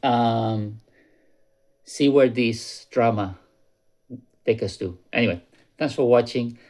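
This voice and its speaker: This man has a non-native accent and a medium pitch. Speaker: YouTuber warning about crypto scams. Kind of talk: casual vlog commentary. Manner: conversational, with fillers and repetitions.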